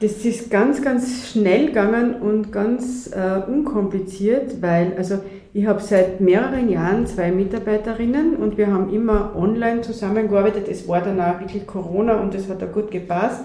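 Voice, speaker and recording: A woman speaks at a medium pitch. Noticeable background noise and audible room echo surround her voice. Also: ordinary pitch variation, moderate pace. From Austria, western Styria. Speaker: landscape planner. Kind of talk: casual interview. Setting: coworking space.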